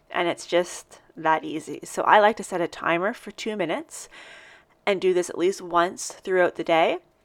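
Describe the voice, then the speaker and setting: A woman uses a normal speaking voice at a medium pitch and a moderate pace, with ordinary pitch variation. Her loudness swings widely. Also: very clean recording, silent background. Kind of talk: guided breathing practice.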